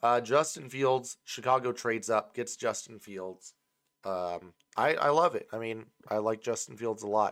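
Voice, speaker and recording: Here a man has a normal speaking voice at medium pitch. He goes at a moderate pace with ordinary pitch variation. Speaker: sports podcast host. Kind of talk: casual sports banter. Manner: casual, profane, laughs often.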